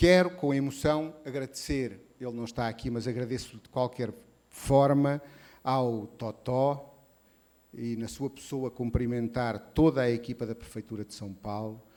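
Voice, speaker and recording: Fairly slowly and with a European Portuguese accent, a man speaks at medium pitch in a dark, mellow tone, with ordinary pitch variation and big swings in loudness. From Portugal. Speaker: association president and event curator. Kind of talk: reading a prepared speech. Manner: slower than usual; hesitant, with fillers.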